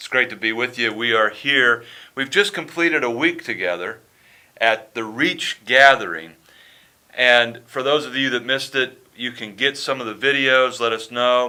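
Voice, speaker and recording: A man speaks with an American accent at a medium pitch. His tone is bright and sharp, and his pace is moderate. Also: ordinary pitch variation. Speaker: podcast host, sports ministry leader. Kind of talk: podcast interview.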